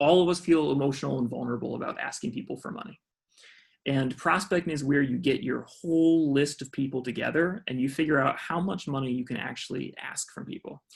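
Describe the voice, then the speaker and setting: Somewhat breathy and fairly quick, this voice has an American accent and ordinary pitch variation. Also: man. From US South, Georgia. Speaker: fundraising trainer. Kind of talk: online training workshop. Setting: video call. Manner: fast.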